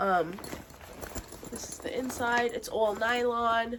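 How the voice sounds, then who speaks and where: The pitch shows ordinary variation. Background noise is noticeable. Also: woman. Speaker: beauty and lifestyle vlogger. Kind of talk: casual show-and-tell collection video. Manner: chatty, filler-heavy.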